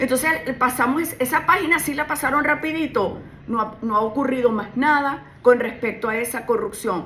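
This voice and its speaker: A woman speaks in a high pitch at a fairly quick pace. Her pitch variation is ordinary, and noticeable background noise is present. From Venezuela. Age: 60s. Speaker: criminal lawyer and political candidate. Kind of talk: radio interview. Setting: radio studio.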